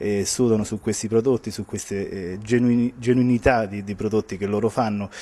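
Delivered at a very fast pace, a man's dark, mellow voice sits fairly low in pitch and stays monotone and flat. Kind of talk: interview answer. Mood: proud, positive. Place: hall. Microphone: handheld.

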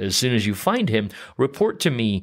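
The recording is very clean, with a silent background. A man with an unremarkable speaking voice talks at medium pitch and a moderate pace. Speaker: podcast host. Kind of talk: casual chat.

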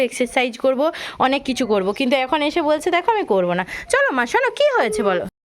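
Noticeable background noise sits under a woman speaking at a high pitch. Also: very even loudness. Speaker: vlogger, mother filming with her daughter. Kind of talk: casual vlog talk to camera. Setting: outdoors on a rooftop.

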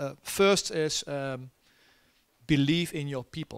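Over a quiet background, a man with a Dutch accent speaks at a fairly slow pace in a fairly high pitch. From Netherlands. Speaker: army general; keynote guest. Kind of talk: keynote talk and Q&A. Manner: halting with many fillers. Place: stage. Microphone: handheld.

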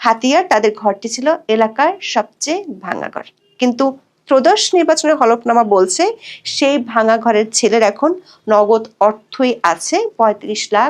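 Lively intonation colors a woman's plain, everyday voice. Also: fairly high pitch for a woman. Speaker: news reporter. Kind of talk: scripted news report. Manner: formal.

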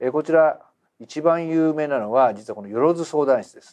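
The background is quiet as a man speaks fairly quickly. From Japan. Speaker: business educator, channel host. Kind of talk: lecture. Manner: conversational, frequent fillers.

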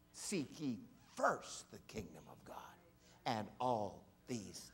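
A man speaks in a theatrical tone at a very slow pace. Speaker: guest preacher. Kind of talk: sermon. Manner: animated; emphatic, theatrical, mimicking voices, audience-interactive. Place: church.

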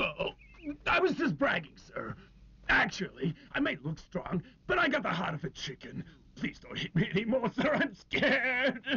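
This put-on character voice sounds whiny, sitting at a fairly high pitch and moving at a moderate pace. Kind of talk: comic overacting. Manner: blustering, then whiny and pleading.

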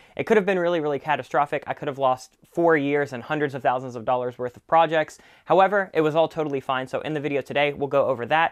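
Over a quiet background, a man speaks at a very fast pace with hardly any pauses. His pitch varies in an ordinary way. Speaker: channel host. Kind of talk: casual tutorial talk to camera. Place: studio. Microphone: lapel.

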